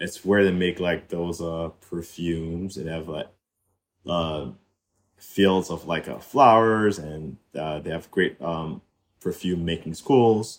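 A man talks very slowly in a very deep, low voice. His loudness swings widely. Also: ordinary pitch variation. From Haiti. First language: Haitian Creole / French. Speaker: artist and entrepreneur. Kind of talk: casual chat. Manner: talkative.

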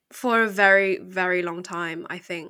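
The speaker has an English accent. The tone is bright and sharp. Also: woman. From England. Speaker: podcast co-host. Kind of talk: casual discussion.

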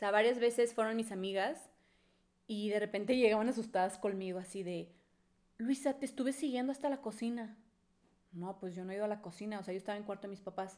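A woman with a fairly high pitch and ordinary pitch variation speaks at a very fast pace, broken by long, frequent pauses. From Mexico, Monterrey. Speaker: podcast co-host. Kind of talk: casual chat.

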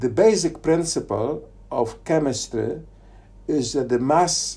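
Using a Polish accent, a man speaks at a fairly slow pace in a dark, mellow voice with vocal fry and ordinary pitch variation. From Poland, Poznan. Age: 60s. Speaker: theoretical physicist. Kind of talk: casual interview. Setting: on location in Fraserburgh, Scotland. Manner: halting, with fillers.

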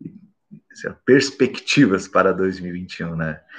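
In a fairly low voice with very wide pitch swings, a man speaks over a quiet background. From Brazil, Mato Grosso do Sul. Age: 30s. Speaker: science YouTuber. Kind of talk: solo vlog monologue. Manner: halting, many fillers.

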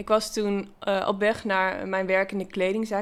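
A very clean recording with a silent background and monotone, flat intonation. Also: woman. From Netherlands, Achterhoek (Gaanderen). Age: 30s. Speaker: brain injury survivor. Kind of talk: interview. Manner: halting.

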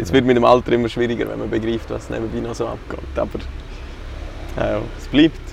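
A man's fairly quick speech broken by long, frequent pauses, over noticeable background noise. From Graubünden, Switzerland. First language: Swiss German (speaking German). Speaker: amateur football coach. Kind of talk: casual interview.

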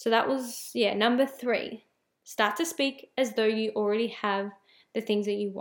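An ordinary speaking voice from a woman at a fairly slow pace. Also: fairly high pitch for a woman, fairly even intonation. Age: 20s. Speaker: podcast host, mindset and spirituality coach. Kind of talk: solo podcast monologue. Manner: casual, with frequent fillers and restarts.

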